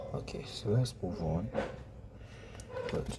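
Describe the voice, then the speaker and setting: A man talks at a fairly slow pace amid noticeable background noise and audible room echo. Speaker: math teacher. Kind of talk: tutorial.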